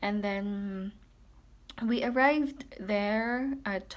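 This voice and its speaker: A woman speaks with a Filipino accent. Her pitch varies in an ordinary way. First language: Tagalog. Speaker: vlogger. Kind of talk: casual personal account. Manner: halting, many fillers.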